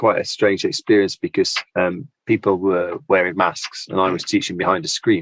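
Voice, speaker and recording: A British accent, with a dry, close sound and no echo. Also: man. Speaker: applied linguistics lecturer. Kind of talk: podcast interview.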